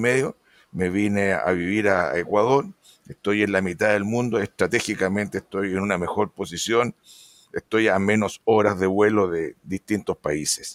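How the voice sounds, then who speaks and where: A man with an unremarkable speaking voice talks at a fairly slow pace in a fairly low pitch. The sound is dry and close with no echo, and his intonation stays fairly even. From Chile. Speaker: veterinarian and pig production consultant. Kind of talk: interview.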